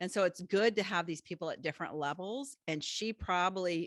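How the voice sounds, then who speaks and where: On a very clean recording with a silent background, a woman with an unremarkable speaking voice talks at a moderate pace and a fairly low pitch, with ordinary pitch variation and a dry, close sound with no echo. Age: 50s. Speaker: podcast host and business coach. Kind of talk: interview.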